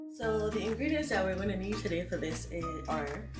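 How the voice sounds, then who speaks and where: A woman talks with clear music in the background. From Barbados. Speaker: home cooking vlogger. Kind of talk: casual cooking tutorial to camera. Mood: cheerful, smiling. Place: kitchen. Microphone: phone near.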